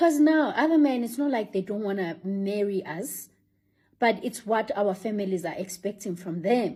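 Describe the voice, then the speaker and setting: Speaking at a moderate pace with lively intonation, a woman with a medium-pitched, dark, mellow and somewhat breathy voice is heard on a very clean recording with a silent background. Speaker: vlogger. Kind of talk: casual monologue.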